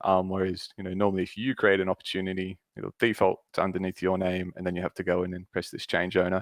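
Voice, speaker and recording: With an Australian accent, a man speaks at a fairly quick pace in a fairly low pitch. The sound is dry and close, with no echo. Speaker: Salesforce consultant. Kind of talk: screen-share tutorial.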